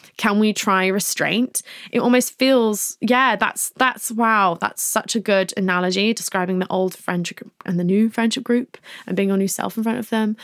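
Talking at a fairly quick pace, a woman with an English accent has a fairly high pitch and ordinary pitch variation. The sound is dry and close, with no echo. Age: 20s. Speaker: podcast host and author. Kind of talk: advice podcast, reading listener questions. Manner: casual, hesitant with many ums.

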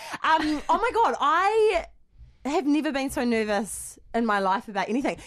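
A woman with a New Zealand accent speaks high and at a moderate pace, her pitch swinging very widely against a quiet background. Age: 20s. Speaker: podcast co-host. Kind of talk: casual chat.

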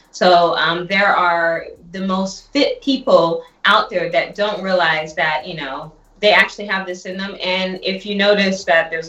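A woman with a medium pitch and fairly even intonation has an unremarkable speaking voice. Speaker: health product entrepreneur. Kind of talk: sales pitch. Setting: phone call.

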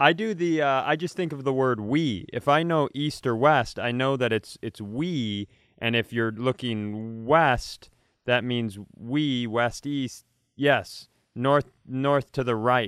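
A man at a medium pitch and a very slow pace. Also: ordinary pitch variation. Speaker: comedian and podcast co-host. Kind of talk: casual chat. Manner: loud.

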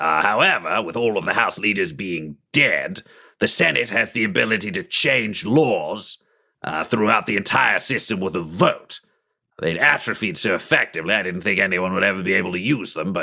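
Using a put-on character voice, a man talks at a moderate pace with lively intonation and a fairly low pitch. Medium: actual play. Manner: hurried, anxious.

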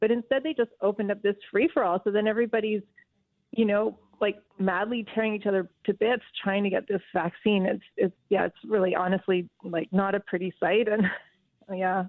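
An ordinary speaking voice from a woman of medium pitch, fairly even in intonation and fairly quick in pace. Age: 50s. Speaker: writer. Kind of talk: radio phone interview. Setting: phone call.

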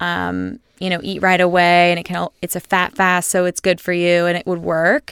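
A woman talks at a moderate pace with hardly any pauses, her fairly low pitch in a monotone, flat intonation. The recording is very clean with a silent background. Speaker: nutritionist. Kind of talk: casual chat. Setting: studio.

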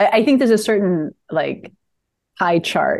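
The pace is fairly slow. She is a woman with an American accent. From United States. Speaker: screenwriter and playwright. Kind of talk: casual interview.

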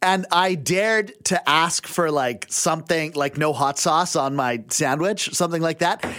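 A man with a western Canadian accent talks at a fairly slow pace with hardly any pauses, in a fairly high voice with a bright, sharp tone. His loudness stays very even and his pitch varies in an ordinary way. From western Canada (Abbotsford, British Columbia). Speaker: radio contributor. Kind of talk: casual chat. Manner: halting, many fillers and restarts.

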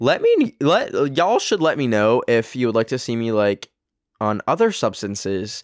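The man speaks at a moderate pace in an animated tone, with a dry, close sound and no echo. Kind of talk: casual solo monologue.

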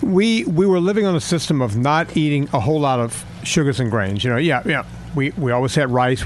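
Barely pausing, a man talks at a fairly quick pace and medium pitch, with lively intonation and very even loudness. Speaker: fitness and nutrition coach. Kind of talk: casual chat. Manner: animated.

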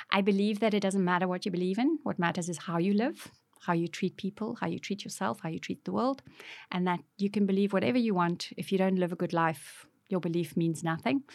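Speaking in a South African accent, a woman uses a medium pitch with ordinary pitch variation at a fairly quick pace, on a very clean recording with a silent background. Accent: South African Afrikaans. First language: Afrikaans. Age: 50s. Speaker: author. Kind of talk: interview testimony. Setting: studio.

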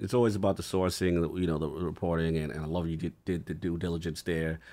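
A man speaks in an animated tone with a very deep, low pitch. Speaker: podcast co-host. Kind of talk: casual chat. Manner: animated, slangy.

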